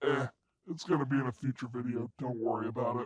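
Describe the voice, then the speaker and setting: Here a man does a put-on character voice at a medium pitch. He delivers it at a very fast pace. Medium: voice reel. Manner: blunt, grumpy.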